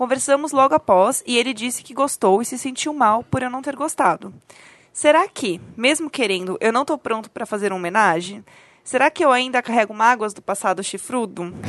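Pitched high, a woman speaks at a moderate pace with lively intonation and big swings in loudness, in a dry, close sound with no echo. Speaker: podcast co-host guest. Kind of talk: casual chat.

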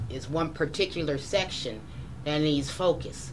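Amid audible room echo, a woman with an American accent talks at a fairly slow pace in a very deep, low pitch. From Colorado Springs. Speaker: housing expert. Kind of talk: town hall panel discussion.

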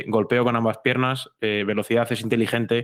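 A man with a Madrid accent speaks at a very fast pace, his medium pitch held in monotone, flat intonation. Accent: Castilian Spanish (Madrid). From Madrid, Spain. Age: young (19). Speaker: university student and tech journalist, football fan. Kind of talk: interview.

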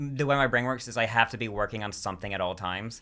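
A man with an American accent at a very fast pace, medium in pitch with ordinary variation, bright and sharp in tone, on a very clean recording with a silent background. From US South. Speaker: stand-up comedian. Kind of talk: casual chat. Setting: studio. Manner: fast talker.

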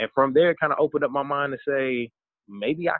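A man with an American accent and an ordinary speaking voice, at a fairly quick pace with ordinary pitch variation. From US South, Charlotte, North Carolina. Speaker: plus size model and college advisor. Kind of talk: casual interview.

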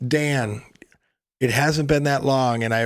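At a moderate pace and medium pitch, a man with a normal speaking voice talks with ordinary pitch variation. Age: 40s. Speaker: podcast host. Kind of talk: casual chat.

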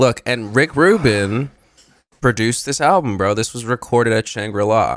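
At a moderate pace and medium pitch, a man speaks in an unremarkable speaking voice with ordinary pitch variation, on a very clean recording with a silent background. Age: 20s. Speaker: podcast co-host, music reviewer. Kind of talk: casual chat.

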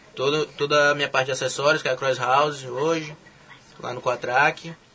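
The man's fairly high voice holds fairly even intonation, with noticeable background noise in the recording. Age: young. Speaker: olympic weightlifter. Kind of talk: casual interview.

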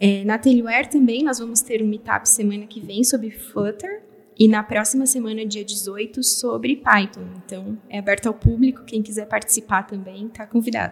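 A woman with a fairly high pitch speaks at a moderate pace and fairly even intonation, her loudness swinging widely over noticeable background noise. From Brazil, São Paulo area. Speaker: software developer. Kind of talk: interview.

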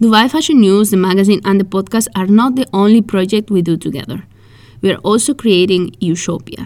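Speaking with a Spanish accent, a woman has a medium pitch and ordinary pitch variation. Her pace is fairly quick. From Spain. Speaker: podcast host and fashion magazine founder. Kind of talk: scripted podcast monologue.

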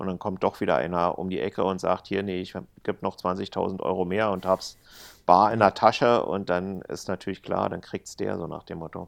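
Against a quiet background, a man with a very deep, low voice talks at a moderate pace with fairly even intonation. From East Germany. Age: 50s. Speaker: casino employee and dragon boat organizer. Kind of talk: casual chat. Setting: remote call from home, lying on couch.

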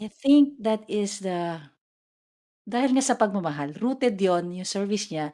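On a very clean recording with a silent background, a woman with a dark, mellow tone speaks at a fairly slow pace with lively intonation. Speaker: podcast co-host. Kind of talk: casual chat.

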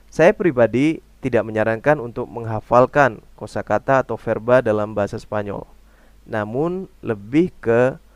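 A man with an unremarkable speaking voice talks at a fairly slow pace and medium pitch, with ordinary pitch variation, in a very clean recording with a silent background. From Indonesia. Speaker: language teacher podcaster. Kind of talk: tutorial.

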